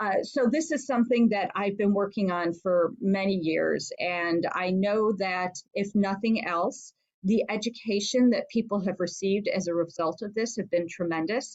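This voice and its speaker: This woman has an unremarkable speaking voice with ordinary pitch variation. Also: medium pitch for a woman, moderate pace. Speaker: state senator. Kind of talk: talk with Q&A.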